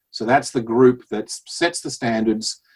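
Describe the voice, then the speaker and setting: A man's voice in an American accent, with ordinary pitch variation, dry and close with no echo. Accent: Australian-tinged American. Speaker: physical therapist. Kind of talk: podcast interview.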